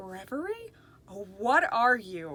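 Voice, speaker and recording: This is a put-on character voice. It sounds female, with medium pitch. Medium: read story. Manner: gentle, kind.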